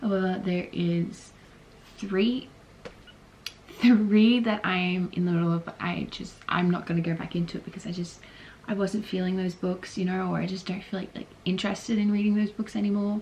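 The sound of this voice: A woman's fairly low, slightly mellow voice with little pitch movement at a moderate pace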